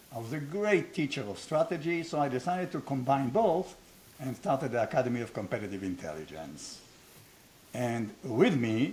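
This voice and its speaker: Somewhat breathy, a man with an Israeli accent and medium pitch speaks at a moderate pace with very wide pitch swings. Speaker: business school founder, former strategy professor. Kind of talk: casual conversation.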